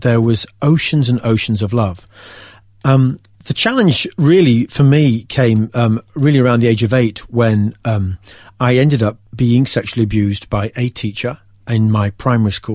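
Here a man speaks in an English accent at a moderate pace. His pitch is medium, with ordinary pitch variation. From England. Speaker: faith testimony guest. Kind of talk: testimony. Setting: studio.

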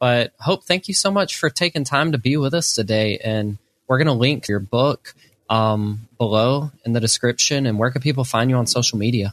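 A man with an unremarkable speaking voice talks at a medium pitch and a moderate pace, with ordinary pitch variation and very even loudness. The sound is dry and close with no echo, over a quiet background. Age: young. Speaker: podcast host. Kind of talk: interview.

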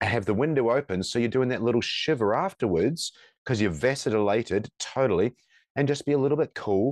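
In a dry, close sound with no echo, a man with a New Zealand accent talks at a fairly quick pace with lively intonation. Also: quiet background. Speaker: firefighter and coach, former police officer. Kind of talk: interview conversation. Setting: remote call. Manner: halting, many fillers.

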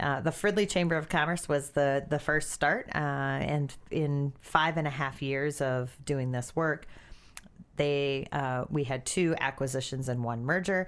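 A woman with an American accent speaks at a fairly slow pace in a very deep, low pitch, with ordinary pitch variation, on a very clean recording with a silent background. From small-town Wisconsin. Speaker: chamber of commerce president. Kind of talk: interview.

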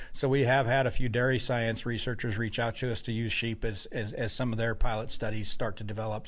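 Room echo can be heard around a man's voice. He speaks at a medium pitch with ordinary pitch variation. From Wyoming. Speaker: university sheep farm director. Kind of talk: interview. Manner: halting, many repeated words.

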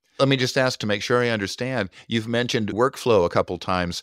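The voice is a normal speaking voice with lively intonation. The recording is very clean, against a silent background. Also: man. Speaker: podcast host. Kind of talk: podcast interview. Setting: virtual studio.

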